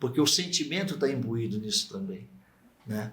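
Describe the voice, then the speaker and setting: A man speaks with lively intonation and a somewhat breathy voice, with audible echo from the room. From Brazil, Barbacena, Minas Gerais. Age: 70s. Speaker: psychiatrist and medical professor. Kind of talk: radio interview.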